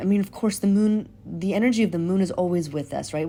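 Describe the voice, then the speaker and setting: At a fairly quick pace, a woman speaks in a dark, mellow tone at a fairly low pitch with ordinary pitch variation. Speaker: tarot reader. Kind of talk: tarot reading to camera. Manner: halting, filler-heavy.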